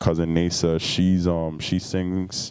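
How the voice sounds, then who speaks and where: Speech comes at a very slow pace with fairly even intonation. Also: man. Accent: American. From US Virgin Islands, St Thomas. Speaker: musician. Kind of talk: podcast interview.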